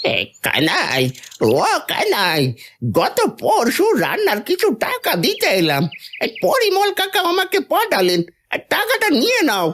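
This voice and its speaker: This is a cartoonish character voice with an extremely high pitch. It moves at a fairly slow pace. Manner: blunt, exclamatory.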